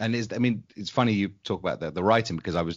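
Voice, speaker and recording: Talking at a very fast pace with ordinary pitch variation, a man speaks in a southern English accent. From England, London. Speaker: podcast co-host. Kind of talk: casual interview chat.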